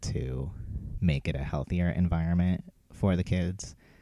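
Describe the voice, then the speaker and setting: Soft-spoken, a man talks with a dark, mellow tone and fairly even intonation. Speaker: cleaning vlogger. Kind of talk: casual vlog monologue while cleaning.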